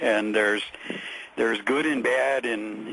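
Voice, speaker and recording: Noticeable background noise sits behind a man whose voice is medium in pitch. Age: 60s. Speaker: caller, equities businessman. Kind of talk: radio call-in conversation. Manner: halting, many fillers.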